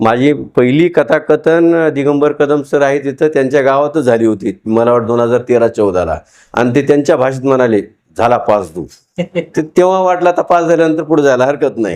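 A man talks with an unremarkable speaking voice. His pitch is fairly high, with ordinary variation. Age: 40s. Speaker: novelist and storyteller. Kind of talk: public interview on stage. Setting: event hall with audience.

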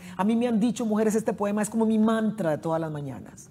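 A woman talks at a very fast pace with a medium pitch and ordinary pitch variation. Her tone is dark, mellow and somewhat breathy, with light background noise. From Costa Rica, San José (Central Valley); Costa Rica. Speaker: poet and writer; poet. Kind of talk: interview. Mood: warm, reflective. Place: studio. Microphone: lapel.

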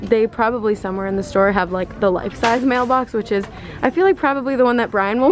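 A woman talking very fast, dry sound with no echo, light background noise. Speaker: vlogger. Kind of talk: casual vlog chat. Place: shop.

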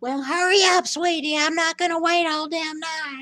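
A woman's put-on character voice, extremely high in pitch, raspy and husky, with monotone, flat intonation at a moderate pace. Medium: voice reel. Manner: folksy, doting, cranky.

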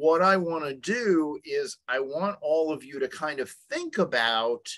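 With lively intonation, a man speaks over a quiet background. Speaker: webinar presenter. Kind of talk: lecture. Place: home room. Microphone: webcam.

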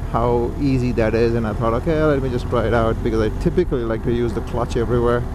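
Over noticeable background noise, a man's voice comes through dry with no echo. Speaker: motovlogger rider. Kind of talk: casual vlog chat. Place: motorbike. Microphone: helmet.

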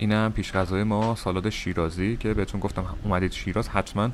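A man with a plain, everyday voice speaks at a fairly low pitch and a fairly quick pace. His pitch variation is ordinary, and there is light background noise. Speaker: travel vlogger. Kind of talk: casual vlog chat. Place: cafe. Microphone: phone near.

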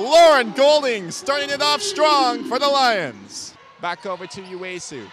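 Raised and projected, a man's voice sounds excited and energetic with very wide pitch swings, in a dry sound with no echo and light background noise. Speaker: sports play-by-play commentator. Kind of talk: live basketball play-by-play commentary. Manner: excited, energetic. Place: hall.

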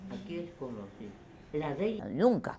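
A woman with a dark, mellow tone and vocal fry, fairly slow in pace, with very wide pitch swings. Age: 90s. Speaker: radio broadcaster. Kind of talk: interview; radio broadcast.

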